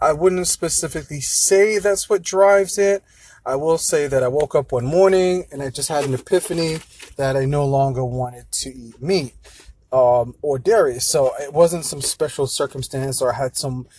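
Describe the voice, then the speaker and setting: A man with an American accent speaks at a moderate pace in a fairly high voice that's somewhat breathy. His pitch varies in an ordinary way, while his loudness swings widely. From London, England. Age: 30s. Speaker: podcaster. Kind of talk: solo monologue podcast. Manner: many filler words.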